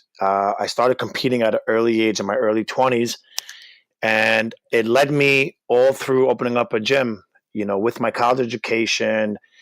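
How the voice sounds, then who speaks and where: This man's intonation stays fairly even as he talks at a moderate pace in a medium pitch. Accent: New York. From Brooklyn, New York. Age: 30s. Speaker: gym owner and personal trainer. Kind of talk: interview.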